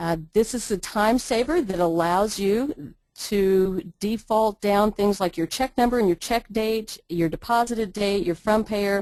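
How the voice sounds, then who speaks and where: A woman's unremarkable speaking voice at medium pitch, with very even loudness, ordinary pitch variation and a fairly slow pace. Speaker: ambulance billing trainer. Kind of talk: webinar tutorial. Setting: online webinar.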